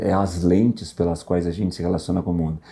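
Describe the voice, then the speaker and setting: The man's tone is dark and mellow. He keeps a fairly quick pace. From southern Brazil. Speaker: musician. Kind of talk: casual podcast interview. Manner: hesitant, with filler words.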